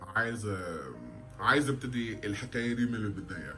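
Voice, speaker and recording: Speech comes at a fairly slow pace with music in the background. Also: man. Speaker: Arabic language learner. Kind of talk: casual talk to camera. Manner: nervous, hesitant.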